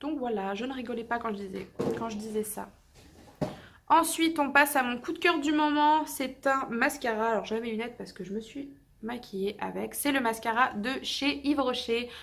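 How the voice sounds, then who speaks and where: A woman's high-pitched voice with big swings in loudness. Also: ordinary pitch variation, moderate pace. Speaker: beauty youtuber. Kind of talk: casual product review vlog.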